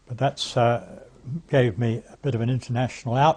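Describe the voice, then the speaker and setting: A man speaks with an English accent at a medium pitch, somewhat breathy. His tone is dark and mellow, with fairly even intonation. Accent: English, older RP-style. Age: 80s+. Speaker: campaign speaker, former politician. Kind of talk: recorded political talk. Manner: halting, with many fillers; formal.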